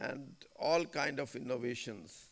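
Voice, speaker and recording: A man speaks at a very slow pace with vocal fry. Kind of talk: formal speech. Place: hall. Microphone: podium.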